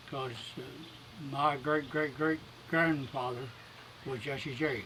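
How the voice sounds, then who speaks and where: With an Appalachian accent, a man talks at a very slow pace in a fairly high pitch with fairly even intonation, and audible room echo surrounds his voice. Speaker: elderly relative. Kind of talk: casual chat.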